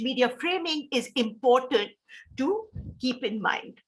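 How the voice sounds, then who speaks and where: A woman speaks with an Indian accent in a high pitch. Her pace is fairly slow, with ordinary pitch variation. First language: Hindi. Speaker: professor. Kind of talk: lecture.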